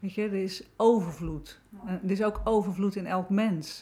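Speaking fairly slowly in an unremarkable speaking voice, a woman at medium pitch uses ordinary pitch variation on a very clean recording with a silent background. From Netherlands, South Holland (Wateringen). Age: 50s. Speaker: author and therapist. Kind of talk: casual chat.

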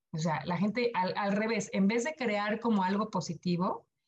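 A woman's fairly high voice at a moderate pace, with ordinary pitch variation and an ordinary speaking voice. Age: 40s. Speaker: sustainability entrepreneur. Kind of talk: podcast interview.

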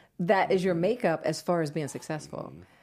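A woman with an American accent speaks at a moderate pace in a dark, mellow tone. The recording is very clean, with a silent background. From New Jersey. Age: 50s. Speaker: clothing company founder. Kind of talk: interview.

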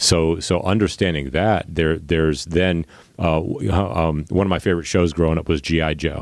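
With an American accent, a man speaks in a very deep, low pitch at a moderate pace. His loudness stays very even and his intonation fairly even. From Long Island, New York. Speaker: podcast host. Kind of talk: interview, casual conversation.

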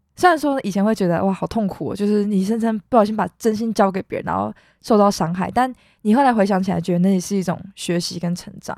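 Very fast in pace, a woman of medium pitch talks with ordinary pitch variation on a very clean recording over a silent background. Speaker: university student podcast host. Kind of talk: casual chat.

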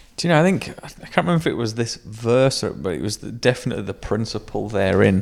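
A man's medium-pitched voice at a very fast pace, with very wide pitch swings, hardly any pauses, and noticeable background noise. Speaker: podcast co-host. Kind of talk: casual chat.

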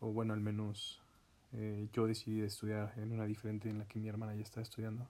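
Speaking at a very fast pace, a man with a fairly low pitch and a dark, mellow tone delivers his words in a flat monotone. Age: 20s. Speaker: podcaster. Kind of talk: personal monologue.

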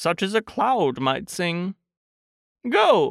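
A man performs a put-on character voice at a fairly slow pace. The recording is very clean, with a silent background. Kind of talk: bedtime story character voice. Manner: earnest, slow-witted, mildly anxious.

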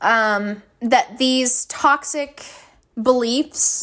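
A woman speaks with a Kentucky accent. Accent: Southern US (Kentucky). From US South, western Kentucky. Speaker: podcast host. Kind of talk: casual monologue. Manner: hesitant, many fillers.

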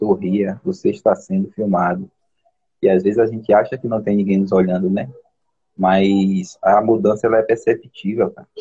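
With fairly even intonation and a moderate pace, this is a plain, everyday voice. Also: man, fairly low pitch for a man. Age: 40s. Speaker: postal worker. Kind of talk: casual chat. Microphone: unstable connection.

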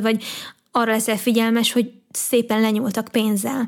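A woman talks at a fairly quick pace and fairly high pitch, her intonation monotone and flat. The recording is very clean, with a silent background. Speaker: podcast host and youtuber. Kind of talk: personal monologue.

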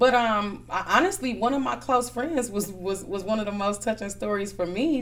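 Someone speaks with an American accent at a moderate pace. Room echo is audible around the voice. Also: woman. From Milwaukee, Wisconsin. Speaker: magazine owner and entrepreneur. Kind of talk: interview conversation.

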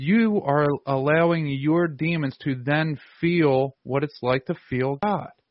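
Here a man speaks in a plain, everyday voice. His pitch is fairly high and his pace fairly slow. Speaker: podcast host. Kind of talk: interview conversation.

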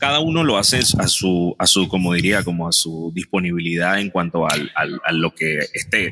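The voice keeps a very even loudness, a moderate pace and ordinary pitch variation. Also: man, very deep, low pitch for a man. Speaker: podcast co-host. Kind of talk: casual chat. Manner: radio announcer style intro.

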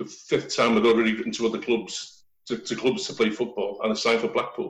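A man with a Liverpool accent at a fairly quick pace. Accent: Scouse. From Liverpool, England. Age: 60s. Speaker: former footballer. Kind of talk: interview.

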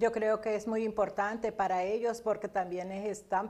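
The speaker talks at a fairly slow pace in a monotone, flat delivery. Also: woman. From Colombia. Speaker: chaplain and co-host. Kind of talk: talk show co-hosting; scripted closing announcement.

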